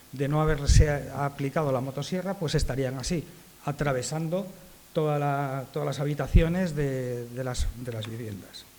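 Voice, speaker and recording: Audible room echo surrounds a man who speaks at a moderate pace and fairly high pitch with ordinary pitch variation. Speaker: arborist association speaker. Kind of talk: conference talk. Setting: conference with audience.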